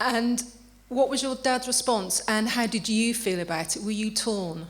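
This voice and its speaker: The woman's voice is fairly high and varies in pitch in an ordinary way. She talks at a moderate pace, and background noise is noticeable. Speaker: broadcaster and radio producer. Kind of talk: interview questions. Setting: village hall, live audience.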